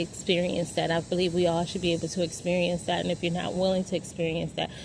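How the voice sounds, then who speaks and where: Talking at a fairly quick pace, a woman with vocal fry holds a fairly low pitch in a monotone, flat delivery. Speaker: vlogger. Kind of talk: personal monologue. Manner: rambling, halting.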